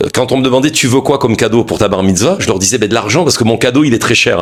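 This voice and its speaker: A man speaks over noticeable background noise. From southwestern France. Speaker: media founder and former broadcaster. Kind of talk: interview. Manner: hesitant with fillers.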